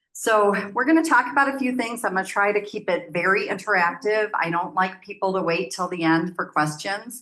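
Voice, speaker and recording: A woman speaks loudly in an American accent with a bright, sharp tone. Her pitch swings very widely. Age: 60s. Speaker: nonprofit program manager. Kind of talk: presentation.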